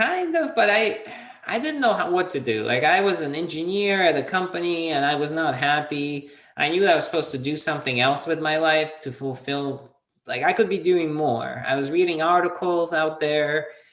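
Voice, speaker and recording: In a room with audible echo, a man talks at a moderate pace with a fairly high pitch and ordinary pitch variation. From Soviet Union, half raised in US. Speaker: entrepreneur, PR consultant. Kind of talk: interview.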